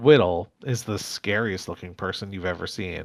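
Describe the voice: Ordinary pitch variation in plain reading aloud.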